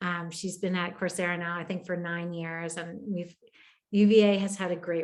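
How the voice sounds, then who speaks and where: With an American accent, a woman talks at a fairly quick pace and a fairly low pitch. Hers is an ordinary speaking voice, with fairly even intonation. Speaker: education technology presenter. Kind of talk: webinar Q&A.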